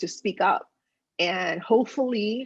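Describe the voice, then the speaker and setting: A woman speaks with a slight Spanish accent against a quiet background. Her pitch varies in an ordinary way. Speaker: politician. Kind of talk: interview.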